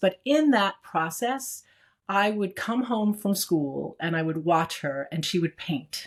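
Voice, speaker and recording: A woman's medium-pitched, normal speaking voice in an American accent, at a moderate pace with lively intonation. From Brooklyn, New York, US. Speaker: executive and strategist. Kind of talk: interview.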